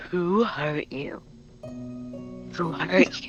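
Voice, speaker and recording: Over clear music in the background, someone talks quietly at a middle pitch in a put-on character voice. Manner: slow, quiet.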